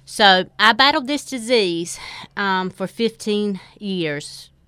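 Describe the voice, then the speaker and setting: A woman with a North Carolina accent speaks at a very slow pace in a bright, sharp tone. The recording is very clean, with a silent background. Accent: Southern US (North Carolina). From North Carolina, Four Oaks. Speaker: recovered addict. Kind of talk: testimony.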